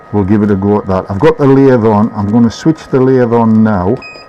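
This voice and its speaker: There is noticeable background noise. Over it, a man with a fairly low pitch talks at a fairly quick pace with fairly even intonation. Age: 60s. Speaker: woodturner. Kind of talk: tutorial. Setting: workshop.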